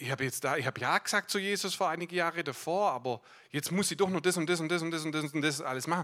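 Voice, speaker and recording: A man talks at a very fast pace, his fairly high pitch carrying a bright, sharp tone and ordinary pitch variation. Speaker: guest preacher. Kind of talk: sermon. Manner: animated.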